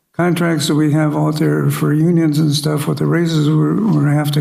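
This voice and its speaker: There is audible room echo around the voice. The speaker is a man. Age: 70s. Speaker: city council member. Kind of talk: council meeting debate. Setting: city council chambers. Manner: blunt, plain-spoken; halting with fillers.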